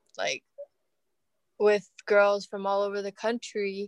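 In a normal speaking voice, a woman talks at a fairly slow pace and medium pitch, with a dry, close sound, no echo, and a very clean recording over a silent background. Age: 20s. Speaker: amateur soccer player. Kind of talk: interview.

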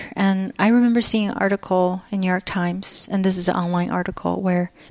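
Speaking at a fairly quick pace in a Chinese accent, a woman with a medium pitch keeps a fairly even intonation in a dry, close sound with no echo. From northeast China (Jilin). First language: Mandarin Chinese. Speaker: installation artist and teacher. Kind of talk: interview conversation.

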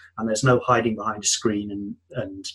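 Somewhat breathy, a man speaks at a medium pitch and a fairly quick pace. His intonation is monotone and flat. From UK. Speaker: software developer turned business consultant. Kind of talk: interview, casual chat.

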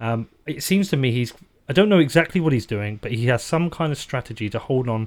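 A man with a British accent at a fairly quick pace, on a very clean recording with a silent background. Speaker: podcast host. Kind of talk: interview. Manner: halting, repeats words.

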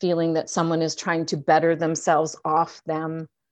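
A woman's fairly low voice with a Canadian accent against a quiet background. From Canada. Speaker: actor and addiction counselor. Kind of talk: casual interview chat.

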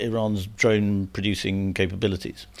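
A man's fairly low voice with a British accent, on a very clean recording with a silent background. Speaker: podcast host. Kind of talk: interview conversation. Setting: in studio.

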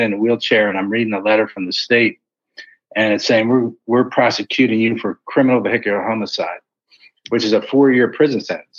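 An American-accented man speaks at a fairly quick pace with a medium pitch. He has an unremarkable speaking voice. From Philadelphia, US. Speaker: author. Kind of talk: interview testimony.

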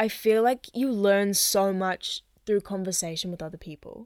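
A woman speaks with a New Zealand accent. The recording is very clean with a silent background, and the sound is dry and close with no echo. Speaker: singer-songwriter and podcast host. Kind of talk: casual chat.

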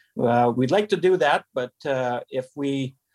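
A man with a Canadian accent speaks at a medium pitch. The recording is very clean with a silent background and a dry, close sound with no echo. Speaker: radio station owner and engineer. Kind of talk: interview. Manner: halting.

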